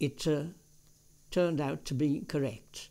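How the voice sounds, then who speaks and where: Speaking at a very slow pace, a man is heard on a very clean recording with a silent background. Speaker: war veteran. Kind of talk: oral history interview answer.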